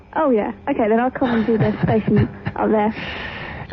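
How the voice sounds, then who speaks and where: A woman speaks at a moderate pace and a fairly high pitch, with ordinary pitch variation. Her loudness stays very even over noticeable background noise. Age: young.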